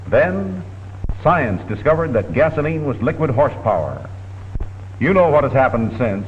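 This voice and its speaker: A man at a medium pitch speaks at a moderate pace, with very wide pitch swings and long, frequent pauses. Noticeable background noise can be heard throughout. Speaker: newsreel commentator. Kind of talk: vintage documentary narration. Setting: studio.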